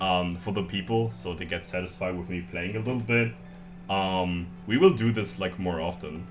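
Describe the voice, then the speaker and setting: Heard with audible room echo, a man with a German accent and a very deep, low pitch uses lively intonation at a moderate pace. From Germany. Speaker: streamer. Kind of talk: casual chat. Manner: halting.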